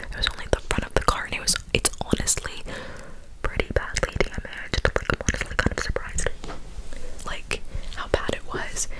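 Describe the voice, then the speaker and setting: A woman whispers at a moderate pace with noticeable background noise behind her. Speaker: ASMR creator. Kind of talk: ASMR whisper ramble telling a personal story. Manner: cupped whisper, soft, close-up.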